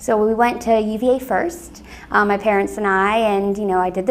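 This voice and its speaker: A woman has an unremarkable speaking voice with a General American accent. Her pitch is medium, with ordinary variation. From Northern Virginia, US. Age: 30s. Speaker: alumna interviewee. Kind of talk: oral history interview. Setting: office.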